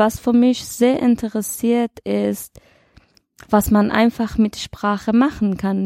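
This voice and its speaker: A woman speaks very slowly with a fairly high pitch in a dark, mellow tone. The sound is dry and close, without echo. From Iran. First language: Dari/Persian (speaking German). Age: 20s. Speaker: podcast presenter, job training participant. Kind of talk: casual chat.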